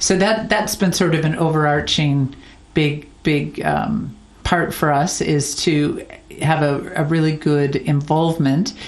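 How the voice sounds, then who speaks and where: An American-accented woman with a very deep, low voice speaks at a fairly slow pace with very even loudness and ordinary pitch variation, amid noticeable background noise and audible room echo. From United States. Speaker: charity founder. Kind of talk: interview. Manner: halting, with frequent repetitions.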